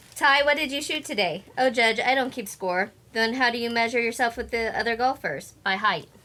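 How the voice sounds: In a squeaky, put-on character voice that sounds female, the speaker uses a fairly high pitch and a fairly quick pace.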